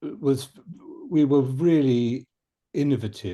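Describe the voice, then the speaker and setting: With a British accent, a man talks in a dark, mellow tone against a quiet background. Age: 70s. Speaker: shiatsu teacher. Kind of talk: panel discussion. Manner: halting, with many fillers and restarts.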